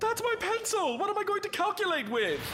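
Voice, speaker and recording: A squeaky, put-on character voice rattles along at a fairly quick pace. Clear background noise sits behind it. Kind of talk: cartoon voice acting. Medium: cartoon. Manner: formal, precise wording.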